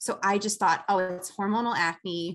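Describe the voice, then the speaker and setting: With an American accent, a woman has an ordinary speaking voice at a medium pitch and ordinary pitch variation. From Chicago. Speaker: esthetician. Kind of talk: interview.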